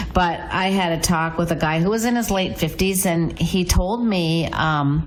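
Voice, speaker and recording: Over noticeable background noise, a woman with a fairly low pitch speaks at a fairly slow pace, with ordinary pitch variation and very even loudness. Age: 60s. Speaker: real estate agent. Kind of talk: radio talk show chat.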